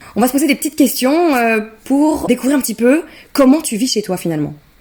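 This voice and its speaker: A woman with a high pitch and a dark, mellow tone speaks very fast with lively intonation. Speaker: podcast host. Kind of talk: casual interview chat.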